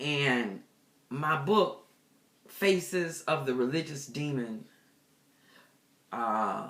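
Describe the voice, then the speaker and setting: Amid audible room echo, a woman with a very deep, low pitch speaks very slowly with lively intonation and long, frequent pauses. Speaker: pastor and deliverance minister. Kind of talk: personal testimony. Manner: casual, conversational with fillers.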